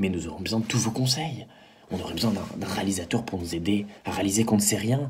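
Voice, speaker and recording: With noticeable background noise and audible room echo, a man at a fairly low pitch talks at a moderate pace. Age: 20s. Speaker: drama student and actor. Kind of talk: video pitch for production meeting. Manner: halting, repeats words.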